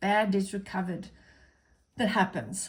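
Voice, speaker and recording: Speaking with an Afrikaans accent, a woman's somewhat breathy, medium-pitched voice comes through on a very clean recording with a silent background. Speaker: accounting teacher. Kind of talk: tutorial. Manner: casual.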